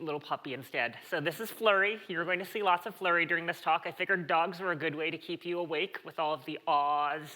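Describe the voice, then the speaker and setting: Using an ordinary speaking voice, a woman talks at a fairly quick pace with a fairly low pitch. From United States. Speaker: conference speaker, tech executive. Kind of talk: conference talk.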